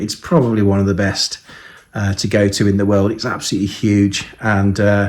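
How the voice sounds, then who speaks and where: Someone speaks at a fairly quick pace with a Birmingham accent. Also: man. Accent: Birmingham English, lasting. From Birmingham, England. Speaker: model aircraft reviewer. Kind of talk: casual video vlog. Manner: hesitant, many fillers.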